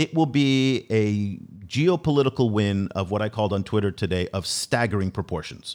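Here a man with a plain, everyday voice speaks at a fairly low pitch and moderate pace. His intonation is lively, on a very clean recording with a silent background. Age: 50s. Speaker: podcast host. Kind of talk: interview.

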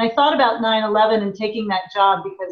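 A woman speaks with an American accent in a plain, everyday voice. Her pitch is fairly high and her intonation fairly even. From US Midwest, small town in Indiana. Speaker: tech company president. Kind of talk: interview.

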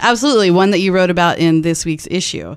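With an unremarkable speaking voice, a woman talks at a medium pitch. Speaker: radio host and newspaper editor. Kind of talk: radio interview. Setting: studio.

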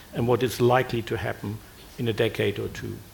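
With a German accent, a man talks at a medium pitch with vocal fry. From Germany. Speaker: retired physics professor. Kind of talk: panel discussion.

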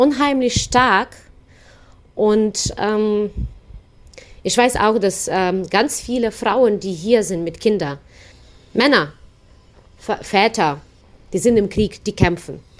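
Pausing long and often, a woman talks very slowly in a fairly high voice. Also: lively intonation. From Ukraine. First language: Ukrainian/Russian (speaking German). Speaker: volunteer interpreter for refugees. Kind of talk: interview. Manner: hesitant, many fillers.

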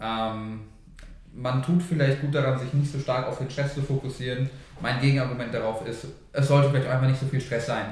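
At a fairly quick pace, a man speaks in a medium pitch. His intonation is monotone and flat. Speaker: podcast co-host. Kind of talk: casual chat.

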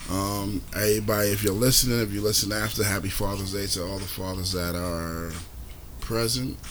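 A man with a New York accent speaks at a fairly quick pace and fairly low pitch, with ordinary pitch variation amid noticeable background noise. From New York City (Brooklyn, Queens). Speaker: podcast host. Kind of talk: casual chat. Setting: outdoors.

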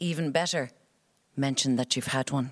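In a very clean recording with a silent background, a woman speaks with an Irish accent and lively intonation. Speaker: actor and writer. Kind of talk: reading aloud.

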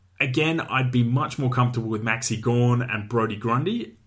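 Fairly quick male speech in an Australian accent, medium-pitched, with ordinary pitch variation. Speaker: fantasy football podcast host. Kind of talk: solo sports analysis podcast. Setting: studio. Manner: casual.

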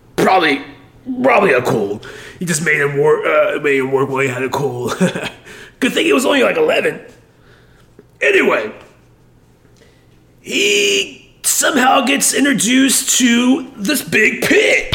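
A man in a put-on character voice speaks at a fairly slow pace, with long, frequent pauses. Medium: game stream. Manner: rambling, dopey, enthusiastic.

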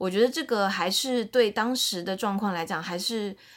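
A woman's plain, everyday voice at medium pitch and a moderate pace, with ordinary pitch variation, in a very clean recording with a silent background. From China, Shanghai. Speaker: podcast co-host, entertainment industry worker. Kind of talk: casual chat.

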